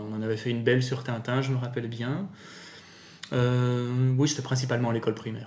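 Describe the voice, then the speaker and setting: Speech moves at a fairly quick pace with fairly even intonation, broken by long, frequent pauses. Audible room echo is present. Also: man. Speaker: amateur voice actor and YouTuber. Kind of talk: casual interview.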